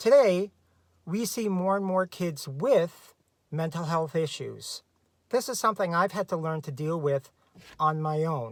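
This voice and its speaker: A man speaks at a fairly slow pace in a high pitch with lively intonation, on a very clean recording with a silent background. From Canada. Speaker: special education teacher. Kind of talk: casual advice talk to camera.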